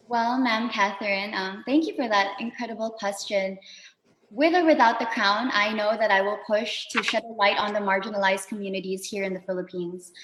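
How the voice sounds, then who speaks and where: Over noticeable background noise, a woman speaks at a fairly quick pace and fairly high pitch with fairly even intonation. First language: not English. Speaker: beauty pageant contestant. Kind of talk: interview Q&A. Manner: formal.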